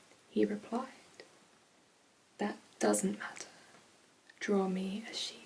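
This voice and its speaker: In a British accent, a woman speaks at a very slow pace over light background noise. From UK. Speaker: ASMR creator. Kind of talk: bedtime story reading. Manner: soft-spoken, whispering. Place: home room. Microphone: phone near.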